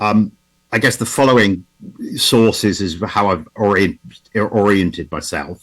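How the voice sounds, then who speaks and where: The speaker talks at a moderate pace with an English accent. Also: man. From England. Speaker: automotive historian. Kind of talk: conference talk. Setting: video call. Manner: halting, with repetitions.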